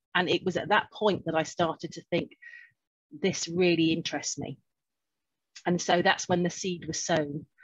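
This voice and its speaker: Somewhat breathy, fairly low female voice at a moderate pace, with monotone, flat intonation and long, frequent pauses. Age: 50s. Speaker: clinical hypnotherapist. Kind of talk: interview.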